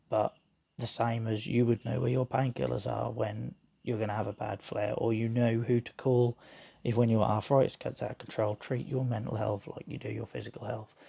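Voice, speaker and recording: A man speaks at medium pitch with a dark, mellow tone and vocal fry. His intonation is monotone and flat, at a moderate pace. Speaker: podcaster living with chronic illness. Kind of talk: personal voice note monologue. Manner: hesitant, with fillers.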